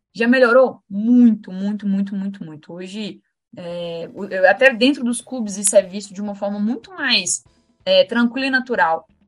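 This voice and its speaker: With an unremarkable speaking voice, a woman at medium pitch talks at a moderate pace, showing ordinary pitch variation and big swings in loudness. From Minas Gerais, Brazil. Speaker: lawyer and women's football coordinator. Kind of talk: podcast interview.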